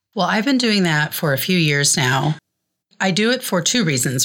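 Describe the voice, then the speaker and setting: A woman with an American accent is captured in a very clean recording with a silent background. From Iowa, US Midwest. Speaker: poet and writer. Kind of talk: casual interview chat.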